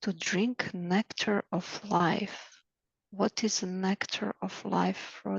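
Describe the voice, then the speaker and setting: A woman's medium-pitched voice with vocal fry, monotone, flat intonation and a very slow pace, in a dry, close sound with no echo. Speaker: Akashic record reader. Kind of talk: spiritual reading session. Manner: halting.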